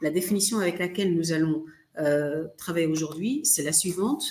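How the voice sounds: In a slightly mellow tone, a woman speaks at a low pitch with ordinary pitch variation and audible room echo.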